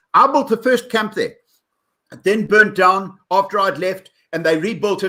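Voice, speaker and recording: A man's raised, projected voice, with high pitch and a bright, sharp tone. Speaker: professional speaker, storyteller and specialist tour guide. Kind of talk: podcast interview answer, storytelling. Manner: reflective, conversational, fluent.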